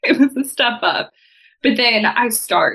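In a Texan accent, a woman speaks with a bright, sharp tone. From Texas. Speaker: property manager. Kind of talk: casual chat.

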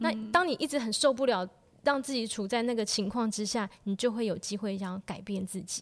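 A woman's fairly high-pitched voice at a fairly quick pace, with ordinary pitch variation. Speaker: piano teacher and hospital researcher. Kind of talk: casual chat.

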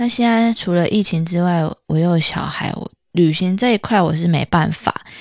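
This woman's voice sits fairly low in pitch and varies in pitch in an ordinary way. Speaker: podcast host. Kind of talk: casual monologue. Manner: slow.

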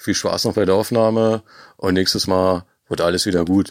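A man at a fairly slow pace. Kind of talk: pre-recorded voice message.

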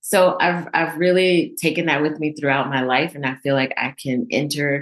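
Speaking fairly slowly, a woman uses a very deep, low pitch. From moved around as a military child (Georgia, Texas, Germany). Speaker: speech language pathologist. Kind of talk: interview.

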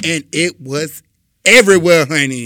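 On a very clean recording with a silent background, a man talks fairly slowly in an animated, bright, sharp tone. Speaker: podcast co-host. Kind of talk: casual chat.

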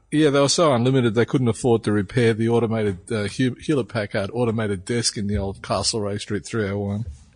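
A man's medium-pitched voice with an Australian accent, fairly quick pace, ordinary pitch variation and hardly any pauses. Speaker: podcast co-host. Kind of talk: casual chat.

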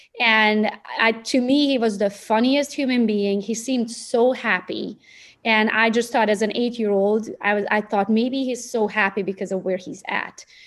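With a Romanian accent, a woman speaks in a fairly high pitch at a moderate pace, her intonation fairly even. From Romania (Transylvania). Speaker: real estate agent and social media coach. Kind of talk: podcast interview.

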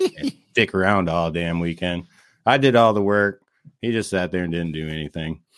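A very deep, low-pitched man's voice sits in a very clean recording with a silent background. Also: ordinary pitch variation, moderate pace. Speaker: race vendor and spectator, guest co-host. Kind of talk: casual chat.

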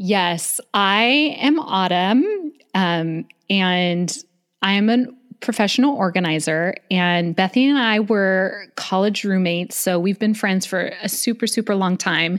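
Recorded very cleanly against a silent background, a woman with a normal speaking voice talks at a fairly slow pace in a medium pitch with ordinary pitch variation. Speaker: professional organizer and podcaster. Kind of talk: casual interview chat.

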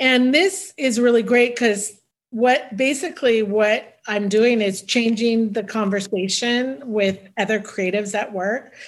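Against a quiet background, a woman speaks fairly slowly in a fairly high pitch with ordinary pitch variation, an ordinary speaking voice. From US West Coast, San Francisco Bay Area. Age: 50s. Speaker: costume designer. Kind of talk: casual interview.

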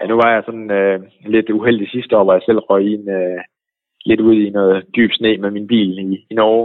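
A man speaks at a moderate pace in a fairly low voice, his intonation flat and monotone. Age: 40s. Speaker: ski website owner. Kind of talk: interview. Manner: hesitant with fillers.

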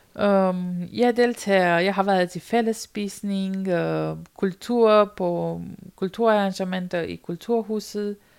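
At a very slow pace, a woman speaks in a flat monotone at medium pitch. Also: very clean recording, silent background. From rural Romania. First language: Romanian (speaking Danish). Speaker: volunteer storyteller on loneliness. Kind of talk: personal testimony interview. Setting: sofa at a volunteer centre.

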